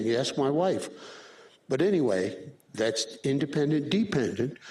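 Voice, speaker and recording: The man's medium-pitched voice moves at a fairly slow pace with ordinary pitch variation, and there's audible room echo. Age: 70s. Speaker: radiology professor. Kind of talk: lecture. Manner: casual.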